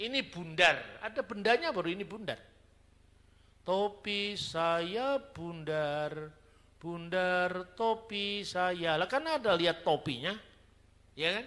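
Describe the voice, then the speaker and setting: Very slowly and in a high pitch, a man speaks with a bright, sharp tone and ordinary pitch variation. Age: 50s. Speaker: theologian. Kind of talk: sermon-style teaching talk. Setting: church. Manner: conversational, colloquial.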